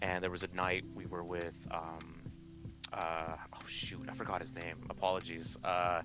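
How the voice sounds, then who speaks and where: The speech moves at a fairly slow pace with ordinary pitch variation. Noticeable background noise and audible room echo surround it. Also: man, very deep, low pitch for a man. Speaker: gamer and video creator. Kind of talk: casual chat.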